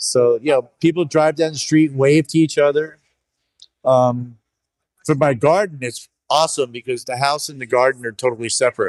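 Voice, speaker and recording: Fairly high in pitch, a man with an unremarkable speaking voice talks at a moderate pace with fairly even intonation in a dry, close sound with no echo. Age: 60s. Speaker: bonsai nursery owner. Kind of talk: casual interview. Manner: casual, with fillers and false starts.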